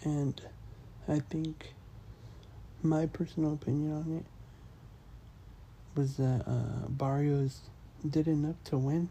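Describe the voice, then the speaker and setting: The speaker is soft-spoken, talking at a very slow pace with long, frequent pauses. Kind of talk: ASMR soft-spoken commentary.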